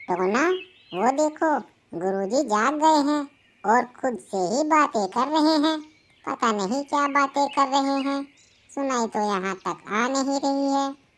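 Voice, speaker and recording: A woman puts on a cartoonish character voice, pitched high. She speaks at a fairly slow pace. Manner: bossy, reasoning.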